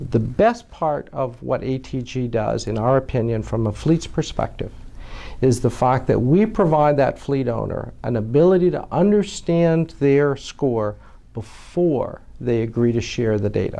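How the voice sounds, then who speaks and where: This man's dark, mellow tone comes through at a fairly slow pace. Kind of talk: interview answer. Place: office. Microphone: lapel.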